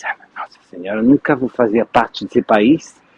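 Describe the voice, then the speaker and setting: A man talks with a non-native accent. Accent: foreign accent in Portuguese. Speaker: French teacher, interviewer. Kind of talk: interview. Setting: live stream.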